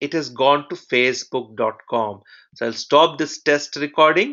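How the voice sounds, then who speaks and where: Fairly high in pitch, the man has an ordinary speaking voice with ordinary pitch variation. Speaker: software testing trainer. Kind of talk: live online training session. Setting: live webinar with over 160 participants.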